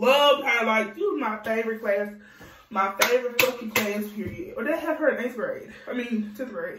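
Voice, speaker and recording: Her voice is fairly high and animated, with ordinary pitch variation. Noticeable background noise and audible room echo come through as the woman speaks. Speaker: vlogger. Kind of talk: storytime. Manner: fast.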